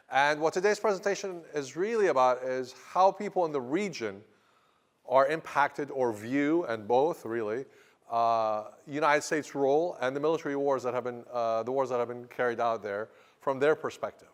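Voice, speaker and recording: His intonation rises and falls in a lively way. This man's pitch sits fairly high. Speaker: history professor. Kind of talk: lecture. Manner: fast; animated.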